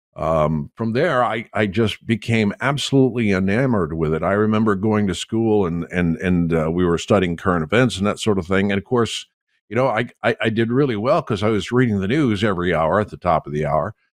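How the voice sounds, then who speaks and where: A man talks at a fairly quick pace in an unremarkable speaking voice with a fairly low pitch, ordinary pitch variation, and hardly any pauses. The sound is dry and close with no echo. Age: 60s. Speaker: veteran radio engineer guest. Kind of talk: casual chat.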